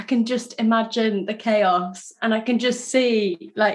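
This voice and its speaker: Medium-pitched female speech in a British accent. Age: 30s. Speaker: podcast host. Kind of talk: casual chat; scripted narration. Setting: video call.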